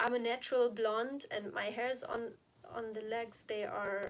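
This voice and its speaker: A woman with a non-native accent speaks at a fairly slow pace and fairly high pitch. The recording is very clean, with a silent background. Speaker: health and recovery vlogger. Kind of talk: live stream Q&A. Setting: live stream from home. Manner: chatty, informal.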